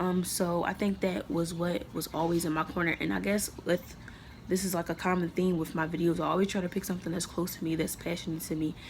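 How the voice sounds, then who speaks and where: Very fast speech from a woman, fairly low in pitch and fairly even in intonation. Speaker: college student. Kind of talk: self-evaluation monologue to camera. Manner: casual with filler words.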